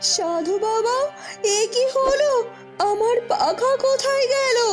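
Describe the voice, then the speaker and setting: Loud music plays behind a woman doing a cartoonish character voice at an extremely high pitch. Her pace is very slow. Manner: emotional, urgent.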